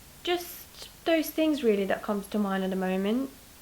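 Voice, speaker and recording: Noticeable noise fills the background. Over it a woman talks fairly slowly, her pitch swinging very widely. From Lithuania. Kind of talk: interview.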